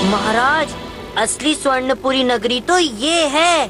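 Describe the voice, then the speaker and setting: A cartoonish character voice talks at a fairly slow pace. Loud music plays behind it. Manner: chatty, playful.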